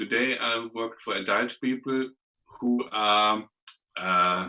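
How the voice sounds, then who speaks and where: Speaking very slowly, a man with a German accent keeps to a medium pitch. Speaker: clinic clown and performer. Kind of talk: casual interview chat. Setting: video call. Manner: halting, many repetitions.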